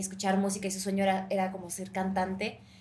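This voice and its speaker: There is audible room echo around this woman's voice. She speaks at a very fast pace. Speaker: actress. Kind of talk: interview.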